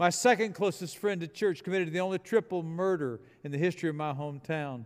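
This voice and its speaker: Using ordinary pitch variation, a man speaks at a fairly quick pace in a high pitch. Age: 70s. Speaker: retired pastor, guest preacher. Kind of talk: sermon. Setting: church.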